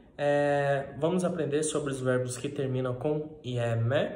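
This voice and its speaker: At a very slow pace, a man talks in a fairly high pitch, with audible room echo around him. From Brazil, Minas Gerais. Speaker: Greek language teacher. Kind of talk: lecture. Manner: frequent filler hesitations. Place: kitchen. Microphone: phone near.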